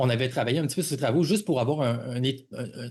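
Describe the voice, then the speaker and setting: This voice belongs to a man. Its pitch moves up and down in a normal way. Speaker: podcast host. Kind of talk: podcast interview. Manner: halting, many fillers.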